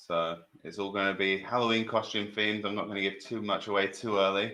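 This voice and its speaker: With a British accent, a man speaks fairly quickly at a fairly low pitch, his tone bright and sharp and his intonation monotone and flat. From Britain. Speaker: trivia quiz host. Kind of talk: live stream quiz hosting. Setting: live stream.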